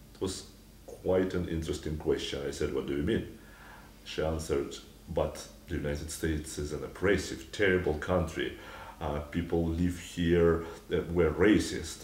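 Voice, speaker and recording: Speaking at a moderate pace with fairly even intonation, a man has a very deep, low, somewhat breathy voice and a Russian accent, with audible room echo around him. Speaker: author. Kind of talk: anecdote. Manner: hesitant, many fillers.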